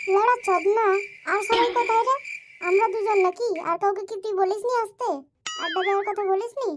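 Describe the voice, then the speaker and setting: This cartoonish character voice has an extremely high pitch and moves at a moderate pace. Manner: crude, swearing, hot-tempered.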